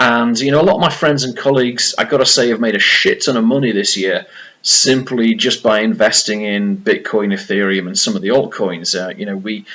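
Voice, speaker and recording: A man with a Yorkshire accent speaks in a bright, sharp tone. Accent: British, Yorkshire. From Yorkshire, northern England. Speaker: vlogger and crypto investor. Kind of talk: casual vlog. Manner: hesitant, many fillers.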